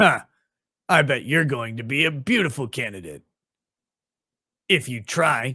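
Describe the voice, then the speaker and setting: A man's raspy, put-on character voice at medium pitch and a moderate pace, with long, frequent pauses. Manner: sugary, over-the-top, stiff.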